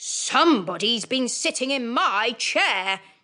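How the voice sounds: A put-on character voice at a fairly slow pace. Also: woman, high pitch for a woman.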